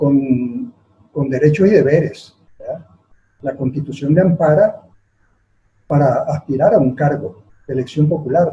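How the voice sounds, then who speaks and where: A man's fairly high voice with a dark, mellow tone. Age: 70s. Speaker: politician. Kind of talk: interview. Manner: hesitant, frequent fillers.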